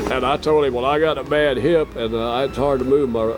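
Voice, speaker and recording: The voice carries a Texas accent with fairly even intonation. Noticeable noise sits in the background. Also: man. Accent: Texas drawl. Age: 70s. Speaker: country singer-songwriter. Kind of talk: casual interview.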